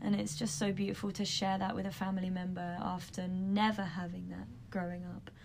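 A woman with a London accent talks fairly quickly with hardly any pauses, at medium pitch. Her intonation is fairly even, and the room echo is audible. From London, England. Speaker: yoga teacher. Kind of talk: casual chat.

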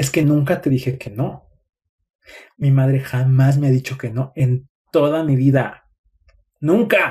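At a fairly slow pace, the speech unfolds. The tone is dark and mellow, and somewhat breathy. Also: man. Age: 30s. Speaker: psychologist and relationship content creator. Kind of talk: live stream talk.

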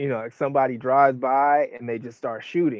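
A man with an American accent, a moderate pace, and fairly even intonation. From US West Coast, Oakland, California. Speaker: artist and director. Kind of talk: interview. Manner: hesitant, many fillers.

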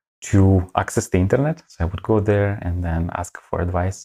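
A man with a very deep, low pitch speaks at a moderate pace, his pitch varying in an ordinary way. The sound is dry and close with no echo, over a quiet background. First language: not English. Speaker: data scientist and community founder. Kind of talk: interview.

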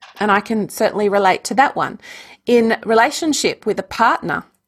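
A woman speaks in an Australian accent at a moderate pace, her pitch fairly high with ordinary variation. The recording is very clean and the background silent. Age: 50s. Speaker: energy healer and yoga teacher. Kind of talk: interview conversation.

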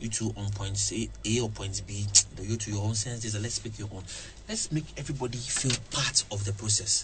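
The man's pitch is fairly low, with vocal fry. He keeps a moderate pace and fairly even intonation. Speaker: radio presenter. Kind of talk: casual interview. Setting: radio studio. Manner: halting, repetitive.

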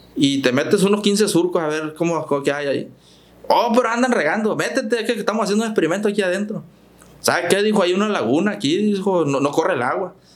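Amid audible room echo, a man with a high pitch speaks at a fairly quick pace with lively intonation. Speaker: farm machinery dealer manager. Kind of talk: podcast interview.

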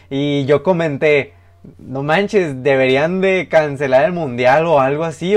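A man talks at a fairly slow pace in a normal speaking voice. His pitch sits fairly high, with ordinary variation. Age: 20s. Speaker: podcast co-host. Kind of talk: casual chat.

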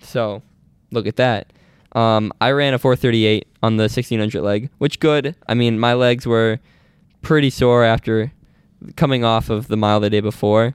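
A man with an unremarkable speaking voice, medium pitch, fairly even intonation, very even loudness and a moderate pace. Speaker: podcast host, college runner. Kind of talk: casual podcast chat.

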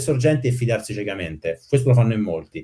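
A man speaks very fast at a medium pitch, his tone dark and mellow and somewhat breathy. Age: 40s. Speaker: software engineer. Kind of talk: casual chat.

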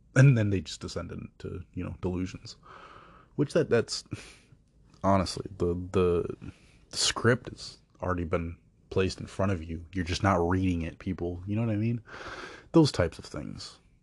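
Speaking with an American accent at a moderate pace, a man with a very deep, low voice sounds somewhat breathy, his loudness swinging widely and his pitch varying in an ordinary way, with long, frequent pauses. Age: 20s. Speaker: podcast host. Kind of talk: casual monologue. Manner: halting.

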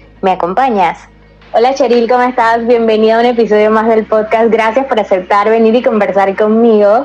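A woman at a fairly quick pace, fairly high in pitch, with fairly even intonation over noticeable background noise. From Panama, Colón. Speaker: podcast host. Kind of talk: interview.

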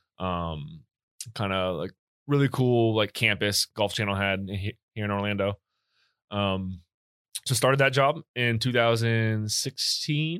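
This man has a plain, everyday voice with a fairly low pitch. He talks at a fairly slow pace, with ordinary pitch variation. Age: 20s. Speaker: guest, pizza maker. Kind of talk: casual chat.

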